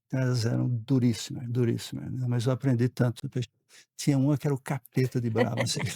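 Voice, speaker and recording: Speaking at a fairly quick clip, a man with a medium pitch sounds somewhat breathy, his tone dark and mellow and his intonation flat and monotone. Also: dry, close sound with no echo. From Brazil, Pernambuco, raised also in Rio and São Paulo. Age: 60s. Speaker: board member. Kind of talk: podcast interview.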